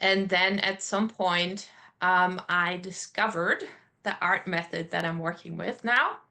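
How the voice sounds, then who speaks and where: With a German accent, a woman speaks at a medium pitch in a bright, sharp tone. Her intonation is fairly even, and the background is quiet. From Germany. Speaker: artist. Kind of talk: interview.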